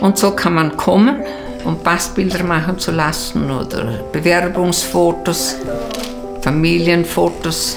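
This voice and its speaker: Clear music plays in the background as the speaker goes at a very slow pace. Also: woman. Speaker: photo shop owner. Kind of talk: interview answer. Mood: warm, cheerful, content. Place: home room. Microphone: lapel.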